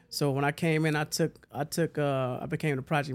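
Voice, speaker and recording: On a very clean recording with a silent background, the speaker talks at a very fast pace in a monotone, flat way with an American accent. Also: man. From Huntsville, Alabama. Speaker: cleaning company owner. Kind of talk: casual chat.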